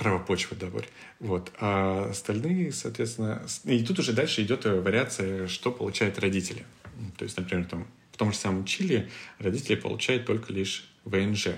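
With a normal speaking voice, a man talks at a moderate pace with ordinary pitch variation. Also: fairly low pitch for a man. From Siberia, Krasnoyarsk. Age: 30s. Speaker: furniture hardware salesman. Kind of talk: casual interview.

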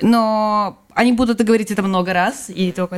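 A woman at medium pitch and a moderate pace, with monotone, flat intonation. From Belarus. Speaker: emigrant, guest's wife. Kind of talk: casual interview.

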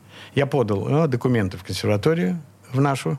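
Very wide pitch swings, a somewhat breathy sound and a very fast pace. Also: man. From Leningrad (St Petersburg), Russia. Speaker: composer and multi-instrumentalist. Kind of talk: radio interview, reminiscing. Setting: radio studio.

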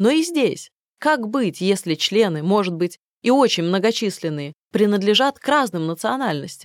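Her tone calm and her medium pitch swinging very widely, a woman speaks at a moderate pace on a very clean recording with a silent background and a dry, close sound with no echo. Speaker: audiobook narrator. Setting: studio.

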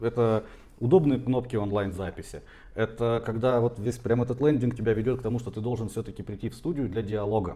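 A man talks at a fairly quick pace in a dark, mellow tone with a medium pitch. His voice is somewhat breathy, with fairly even intonation. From Siberia, Tomsk. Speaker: tattoo artist and marketer. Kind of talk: casual chat.

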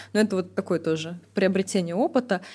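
A woman speaks at a fairly quick pace in a medium pitch, somewhat breathy, on a very clean recording with a silent background. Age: 30s. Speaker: podcast co-host. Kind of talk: casual podcast conversation.

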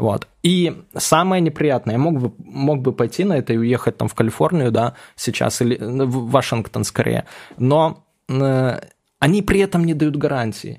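With a plain, everyday voice, a man talks at a fairly slow pace, his loudness very even and his pitch variation ordinary, in a very clean recording with a silent background. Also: medium pitch for a man. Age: 30s. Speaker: ex-cybercriminal turned blogger and author. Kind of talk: casual interview.

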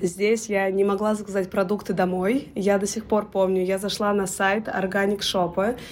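With noticeable background noise behind it, the speech moves at a moderate pace with hardly any pauses, very even loudness and monotone, flat intonation. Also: woman, medium pitch for a woman. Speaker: education consultant, business owner. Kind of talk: interview.

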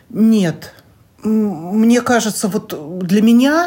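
Her tone is dark and mellow. This woman's voice also carries some breathiness. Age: 60s. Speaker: co-host's mother. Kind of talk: interview.

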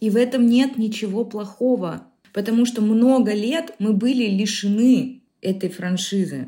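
A woman with a fairly high, somewhat breathy voice and a dark, mellow tone speaks at a fairly slow pace with ordinary pitch variation. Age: 30s. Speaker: podcast co-host. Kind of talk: casual chat.

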